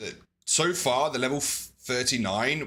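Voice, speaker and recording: A loud, bright, sharp voice with ordinary pitch variation, in a very clean recording with a silent background. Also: man. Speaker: twitch streamer. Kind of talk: live gameplay stream chat.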